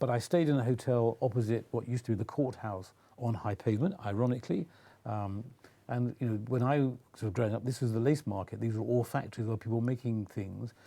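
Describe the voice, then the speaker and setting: This man's voice sits at medium pitch, dark and mellow in tone, with ordinary pitch variation. He talks at a very fast pace. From England, Nottingham. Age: 70s. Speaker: Lord-Lieutenant, monarch's representative. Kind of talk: interview.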